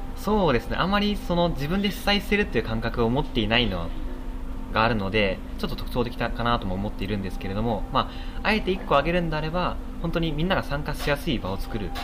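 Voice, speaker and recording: A man speaks at a very fast pace. Audible room echo and noticeable background noise surround his voice. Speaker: reading club organizer, office worker. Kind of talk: interview. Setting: coffee shop.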